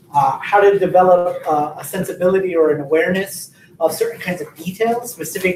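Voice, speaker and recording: A speaker with an American accent talks at a moderate pace. Noticeable background noise runs underneath. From US West Coast, San Diego. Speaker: writing workshop instructor. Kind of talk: workshop lecture. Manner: many fillers and hesitations, frequent 'right?'.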